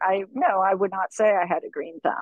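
A woman with an American accent speaks with ordinary pitch variation in a dry sound with no echo. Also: quiet background. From Florida. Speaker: organic farmer; guest. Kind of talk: interview. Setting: outdoors on a farm buggy. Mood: thoughtful, relaxed. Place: car. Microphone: video call.

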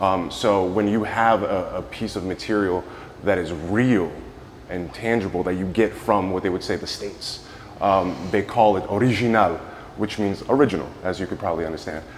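A man's plain, everyday voice, fairly low in pitch, at a moderate pace with fairly even intonation over light background noise. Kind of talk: interview answer. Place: hall.

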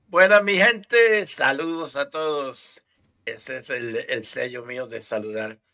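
Over a quiet background, a man with a fairly high pitch and a bright, sharp tone speaks at a very slow pace, with very wide pitch swings and big swings in loudness. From Puerto Rico. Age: 60s. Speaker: army veteran. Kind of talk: interview answer. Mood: cheerful, smiling greeting. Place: home room. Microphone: headset.

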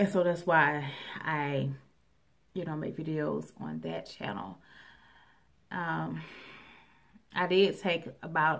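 With long, frequent pauses and a fairly slow pace, a woman speaks at a very deep, low pitch over a quiet background. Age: 30s. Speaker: YouTuber. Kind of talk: personal vlog. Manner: halting. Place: home room.

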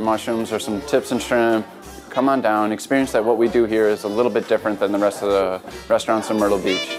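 Clear music plays in the background as a man talks. He moves at a very fast pace with ordinary pitch variation. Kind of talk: interview answer. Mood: warm, promotional. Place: bar. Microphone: lapel.

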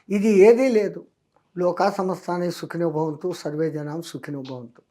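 A dark, mellow tone with big swings in loudness. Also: man, high pitch for a man, ordinary pitch variation. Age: 80s+. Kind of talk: interview answer.

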